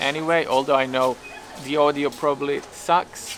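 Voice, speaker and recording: In a Serbian accent, a man speaks fairly slowly in a fairly high voice with fairly even intonation. Background noise is noticeable. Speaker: YouTuber. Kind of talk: vlog monologue. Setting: outdoors on a street. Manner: halting.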